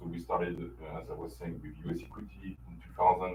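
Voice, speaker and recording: Amid audible room echo, a man with a French accent speaks at a very deep, low pitch with vocal fry. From France. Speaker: company infrastructure executive. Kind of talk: business presentation. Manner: hesitant, many fillers.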